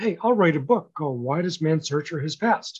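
A man with a fairly high pitch and a normal speaking voice talks at a moderate pace, his pitch varying in an ordinary way. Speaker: author and grief speaker. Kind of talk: interview chat.

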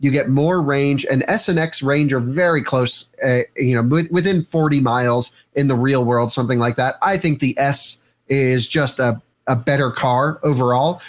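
A normal speaking voice from a man, fairly high in pitch, at a moderate pace with ordinary pitch variation and very even loudness, in a very clean recording with a silent background. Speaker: EV reviewer, panelist. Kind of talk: casual chat.

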